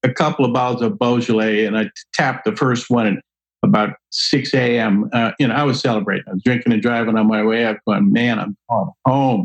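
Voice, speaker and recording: A man with an American accent and an unremarkable speaking voice, at a moderate pace. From New Jersey. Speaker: wine expert and speaker. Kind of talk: casual interview.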